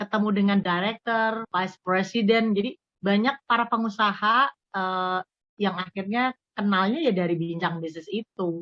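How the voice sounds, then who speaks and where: In a dry, close sound with no echo, a woman speaks at a medium pitch with a Javanese accent. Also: ordinary pitch variation, moderate pace. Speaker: radio broadcaster. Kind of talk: interview.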